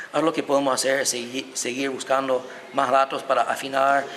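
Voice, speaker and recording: Speaking with an American accent, a man keeps a medium pitch and a fairly quick pace. There is noticeable background noise. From United States. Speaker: historian and violinist. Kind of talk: interview.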